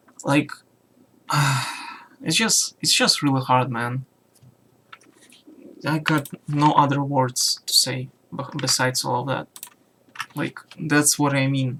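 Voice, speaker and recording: A man at a very slow pace, quiet, with long, frequent pauses, fairly high pitch and fairly even intonation. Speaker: YouTuber. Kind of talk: personal vlog rant. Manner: halting.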